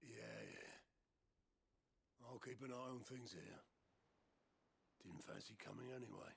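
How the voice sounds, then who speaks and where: A man's raspy, put-on character voice at a medium pitch, with ordinary pitch variation and very even loudness. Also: moderate pace. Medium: video game. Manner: casual, plain-spoken.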